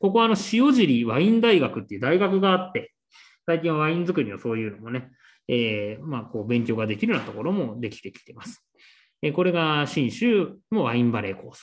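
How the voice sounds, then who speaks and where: Speaking at a fairly quick pace, a man uses a fairly high pitch with very wide pitch swings. His loudness swings a lot against a quiet background. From Shizuoka, Japan. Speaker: wine course instructor. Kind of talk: lecture. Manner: polite formal with many fillers.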